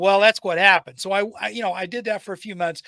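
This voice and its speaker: A man projects a raised voice at a high pitch, with a bright, sharp tone. The sound is dry and close, with no echo. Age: 60s. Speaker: retired IT technician and trainer, podcast guest. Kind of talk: casual chat.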